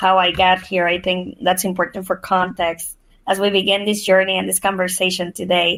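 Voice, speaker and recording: This woman speaks with a Spanish accent. Her pitch sits in the medium range. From Mexico, moved to Nebraska at twelve. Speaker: nonprofit CEO. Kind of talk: podcast interview.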